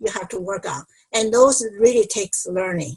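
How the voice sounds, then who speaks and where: With a non-native accent, a woman is talking. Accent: non-native English accent, reduced. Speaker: speech-language pathologist. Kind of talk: online panel discussion.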